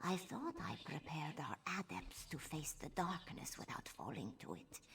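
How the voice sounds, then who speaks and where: Someone whispers in a put-on character voice at a fairly slow pace. There is clear background noise. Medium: video game. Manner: solemn, measured.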